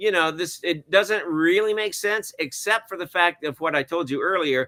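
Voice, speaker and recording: Recorded dry and close with no echo, the voice has a bright, sharp tone, ordinary pitch variation and an American accent. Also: man, high pitch for a man, moderate pace. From US South (Alabama). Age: 60s. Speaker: film director and cinematographer. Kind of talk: interview conversation. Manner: hesitant, many fillers.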